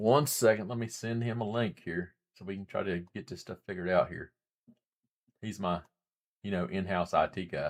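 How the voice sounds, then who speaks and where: A man with an Appalachian accent talks at a moderate pace in a fairly low voice. His loudness swings a lot, and his pitch varies in an ordinary way. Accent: Southern US (Appalachian). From US South, western North Carolina mountains. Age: 40s. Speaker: live streamer, former Marine. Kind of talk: live stream chat. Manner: soft-spoken; casual, halting.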